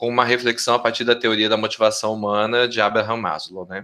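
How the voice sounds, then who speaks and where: Against a quiet background, a man of medium pitch speaks in a bright, sharp tone. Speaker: professor, health researcher. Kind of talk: research group presentation.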